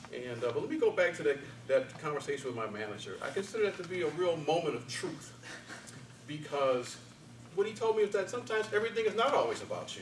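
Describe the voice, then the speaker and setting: Against light background noise and audible room echo, a man talks at a very fast pace in a high voice. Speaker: speech contestant, office worker. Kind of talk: contest speech. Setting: stage with audience. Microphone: camera far.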